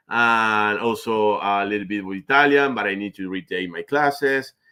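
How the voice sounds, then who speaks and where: A man with a Spanish accent speaks with lively intonation. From Argentina. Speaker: finance manager. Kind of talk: interview. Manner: halting, with pauses.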